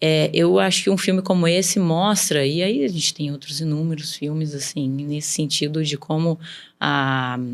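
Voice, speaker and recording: With a São Paulo countryside accent, a woman speaks at a moderate pace with a very deep, low pitch and ordinary pitch variation in a very clean recording with a silent background. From interior of São Paulo state, Brazil. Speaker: businesswoman. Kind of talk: podcast interview.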